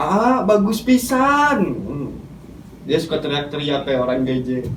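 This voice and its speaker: A man with a fairly high pitch talks at a very slow pace, his voice making very wide pitch swings against noticeable background noise. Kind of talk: casual comedic skit.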